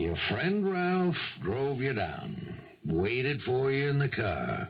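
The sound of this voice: A man does a put-on character voice at a medium pitch, slow and with vocal fry. His pitch makes big swings amid audible room echo.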